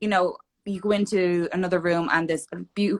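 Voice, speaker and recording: A woman with an Irish accent speaks at a fairly low pitch. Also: dry, close sound with no echo. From Ireland, Dublin. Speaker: fitness competitor. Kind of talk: casual chat. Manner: animated.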